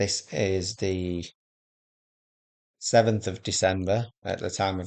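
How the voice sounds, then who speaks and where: A man with a Yorkshire accent and a very deep, low pitch, speaking at a fairly slow pace with ordinary pitch variation against a quiet background. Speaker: gaming video creator. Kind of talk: gameplay commentary. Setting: home recording, early morning. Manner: casual, hesitant with fillers.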